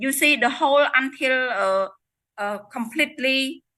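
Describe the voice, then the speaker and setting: A woman speaks at a fairly slow pace in a high, raised, projected voice. Her tone is bright and sharp, with ordinary pitch variation. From Cambodia. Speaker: network marketing distributor sharing success story. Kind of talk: testimony. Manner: halting.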